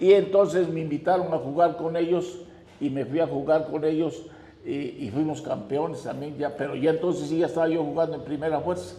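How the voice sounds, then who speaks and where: Noticeable background noise and audible room echo fill the recording. A man talks at a fairly quick pace in a fairly high pitch with fairly even intonation. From Mexico, Oaxaca city. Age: 90s. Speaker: notary and amateur baseball player. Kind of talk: interview, personal reminiscence.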